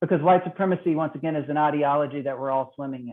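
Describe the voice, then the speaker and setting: The pace is very fast. The speaker has a Mississippi accent. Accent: Southern US (Mississippi). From Mississippi, US South. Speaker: trainer on racial equity. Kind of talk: training webinar presentation. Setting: online call.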